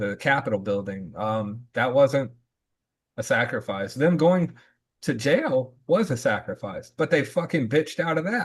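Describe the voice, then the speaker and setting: Against a quiet background, a man speaks somewhat breathily at a fairly slow pace with lively intonation. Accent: American. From US South. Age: 40s. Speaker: podcast host, Marine veteran. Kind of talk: casual discussion podcast.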